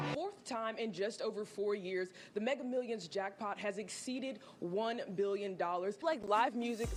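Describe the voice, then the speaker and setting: Music plays in the background as a woman with an American accent and a fairly high pitch speaks at a moderate pace. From Cleveland, Ohio. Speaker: TV news reporter and host. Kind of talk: TV news reporting and live shots.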